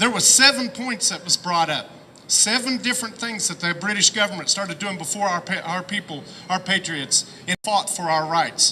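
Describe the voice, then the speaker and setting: Over noticeable background noise, a raised, projected voice with an American accent carries ordinary pitch variation. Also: man, high pitch for a man, moderate pace. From southern Ohio. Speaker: rally speaker. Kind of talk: rally speech. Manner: impassioned.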